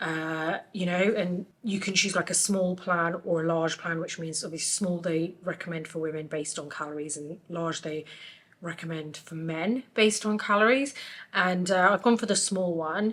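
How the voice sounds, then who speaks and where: Against noticeable background noise, a woman with a fairly low voice speaks at a moderate pace with ordinary pitch variation. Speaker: makeup artist. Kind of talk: casual vlog talk to camera.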